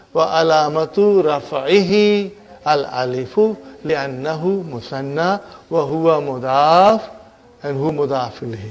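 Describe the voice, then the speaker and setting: Over noticeable background noise and with audible room echo, a man speaks at a very slow pace. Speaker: Arabic teacher. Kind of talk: lecture.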